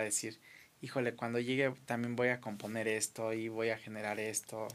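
The voice belongs to a man. It is an unremarkable speaking voice with a medium pitch. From Mexico, Acapulco. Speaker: radio show host. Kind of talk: casual interview. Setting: studio.

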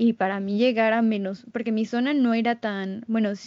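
Speech comes at a fairly slow pace in a Mexican accent. The intonation is fairly even. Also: woman. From Mexico. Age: 20s. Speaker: French tutor. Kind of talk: interview.

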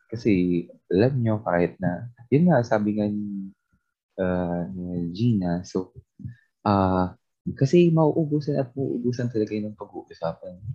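In a normal speaking voice, a man with a fairly low pitch talks at a fairly slow pace with lively intonation. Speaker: podcast co-host. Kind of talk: casual chat. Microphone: weak internet connection.

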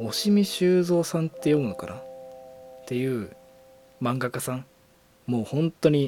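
Man at medium pitch, fairly slow pace with long, frequent pauses, lively intonation, big swings in loudness, noticeable background noise. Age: 20s. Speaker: podcast host and coach. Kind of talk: casual solo monologue. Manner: animated, frequent laughter.

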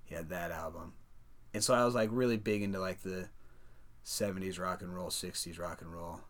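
With an American accent, a man speaks at a very deep, low pitch with fairly even intonation and big swings in loudness, in audible room echo. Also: fairly quick pace. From Des Moines, Iowa. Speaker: rapper. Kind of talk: casual interview.

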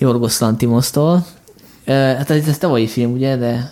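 A man talks at a fairly slow pace in a medium-pitched voice with ordinary pitch variation. Noticeable background noise can be heard. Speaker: podcast host. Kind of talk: casual chat.

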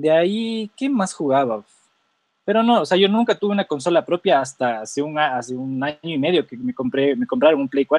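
Very wide pitch swings at a moderate pace. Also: man, fairly high pitch for a man. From Ecuador. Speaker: journalist. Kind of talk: casual chat.

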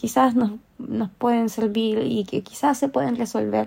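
Her voice is fairly high for a woman, with ordinary pitch variation and a dark, mellow tone. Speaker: podcaster. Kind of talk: personal monologue.

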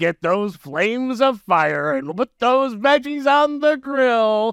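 This very clean recording of a man has a silent background and a dry, close sound with no echo. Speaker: podcast host. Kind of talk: casual chat. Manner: animated, joking.

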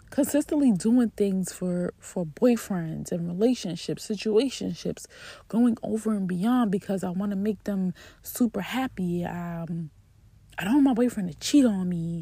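Somewhat breathy and dark, mellow in tone, a woman talks at a fairly slow pace with ordinary pitch variation. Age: 30s. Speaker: podcast host. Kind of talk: personal storytelling monologue. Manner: casual, conversational with frequent repetition.

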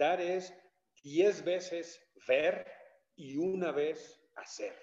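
A man's high voice at a very slow pace, fairly even intonation, long, frequent pauses throughout. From Mexico City. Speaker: painter and art teacher. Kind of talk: interview. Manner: hesitant, with fillers.

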